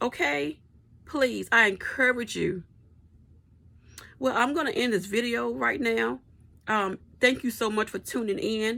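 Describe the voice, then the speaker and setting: A woman's fairly high, bright, sharp voice, animated in tone, at a moderate pace. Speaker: vlogger. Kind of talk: personal advice monologue.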